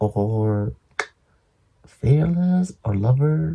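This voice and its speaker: With lively intonation and a dark, mellow tone, a man talks at a medium pitch in a somewhat breathy voice. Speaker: vlogger. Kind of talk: casual vlog chat. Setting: at home.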